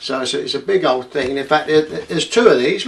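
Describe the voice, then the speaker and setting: The speaker talks at a fairly quick pace with an Essex accent. Noticeable background noise runs underneath. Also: man. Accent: southern English (Essex). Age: 70s. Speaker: retired equity release adviser explaining finance. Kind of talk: casual explainer video monologue. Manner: hesitant, many fillers.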